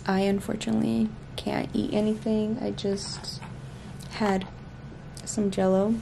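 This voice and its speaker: Amid noticeable background noise, a woman talks at a fairly slow pace with very even loudness. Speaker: pregnant vlogger. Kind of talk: casual vlog chat. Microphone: phone near.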